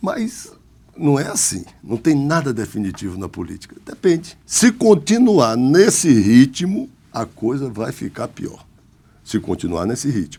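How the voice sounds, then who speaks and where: This man has a fairly high pitch and a dark, mellow tone with vocal fry. He speaks at a fairly slow pace, his pitch swinging very widely. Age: 60s. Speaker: politician. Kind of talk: interview.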